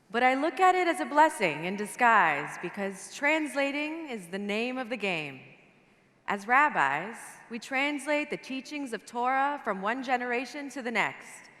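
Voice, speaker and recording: A woman with a high voice and a bright, sharp tone speaks at a moderate pace with very wide pitch swings. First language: Farsi. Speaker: rabbi. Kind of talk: prepared speech.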